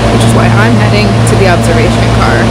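Fairly quick speech over loud background noise, dry with no echo. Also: woman. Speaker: travel vlogger. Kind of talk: casual vlog chat. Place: station. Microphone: phone near.

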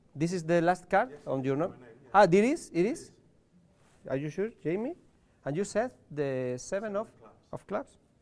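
A man with a Spanish accent speaks at a moderate pace in a high voice, his intonation lively, his loudness swinging widely and his pauses long and frequent. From Spain. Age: 40s. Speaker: card magician. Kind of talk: magic performance. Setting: live show with audience. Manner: halting. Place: studio.

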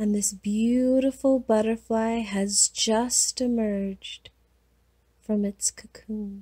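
A woman's very slow, fairly high-pitched voice, somewhat breathy with a dark, mellow, calm and soothing tone, flat and monotone in intonation, recorded dry and close with no echo. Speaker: hypnotherapist, guided hypnosis host. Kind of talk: guided hypnosis. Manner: slow, calm, soothing.

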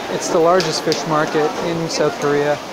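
A man at a fairly slow pace, loud background noise, dry sound with no echo. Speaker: travel vlogger. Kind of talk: casual vlog chat. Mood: excited, curious. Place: market. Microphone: phone near.

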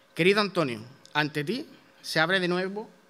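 Music plays behind a man whose high-pitched voice moves at a fairly quick pace with ordinary pitch variation. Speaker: presenter introducing the proclaimer. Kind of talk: formal introduction at a ceremony. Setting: theatre stage with audience. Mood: solemn, devotional. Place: stage. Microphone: podium.

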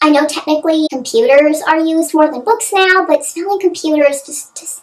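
Someone speaks in a put-on character voice at a fairly quick pace. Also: woman, extremely high pitch for a woman. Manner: mocking.

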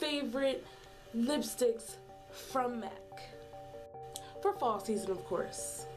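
Music plays in the background. Over it, a woman is speaking. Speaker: beauty vlogger. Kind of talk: casual talk to camera.

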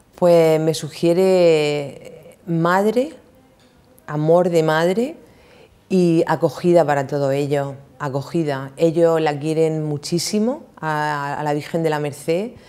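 A woman talks at a very slow pace. Her pitch is very deep and low. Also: ordinary pitch variation. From Spain, Calasparra (Murcia); Murcia, Spain. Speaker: prison ministry volunteer; interview guest. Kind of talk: testimony. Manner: halting. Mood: warm, emotional about family. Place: studio. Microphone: lapel.

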